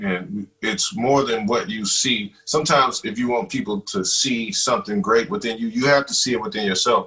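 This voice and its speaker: A man with a Mississippi accent speaks at a medium pitch in a bright, sharp tone, his pitch swinging very widely. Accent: Mississippi Southern US. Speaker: web TV show co-host. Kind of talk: casual podcast chat.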